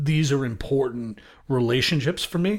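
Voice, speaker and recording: In an American accent, a man with a fairly high pitch and a plain, everyday voice talks at a fairly slow pace with lively intonation, on a very clean recording with a silent background. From US Northeast, Brooklyn, New York. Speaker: music industry sales executive. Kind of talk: interview.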